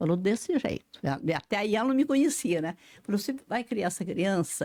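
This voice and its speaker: A woman talks at a moderate pace in a dark, mellow tone with very wide pitch swings. The sound is dry and close with no echo. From rural Brazil. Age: 80s. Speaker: writer and retired psychologist. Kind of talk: interview answer, personal life story.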